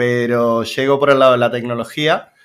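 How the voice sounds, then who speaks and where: Over a silent background in a very clean recording, a man with an Argentine accent speaks at a moderate pace with medium pitch and fairly even intonation. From Argentina, Mar del Plata. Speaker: web developer and teacher. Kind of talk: interview.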